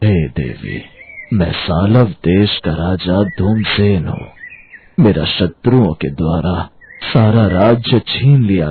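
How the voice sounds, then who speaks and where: A man puts on a cartoonish character voice at a fairly low pitch. He delivers it at a fairly slow pace. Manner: dignified, resigned.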